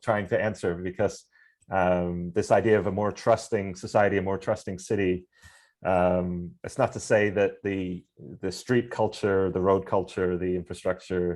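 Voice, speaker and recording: A man with an ordinary speaking voice at a moderate pace, against a quiet background. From Canada (Vancouver). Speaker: author and cycling advocate. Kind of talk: Q&A answer in online talk.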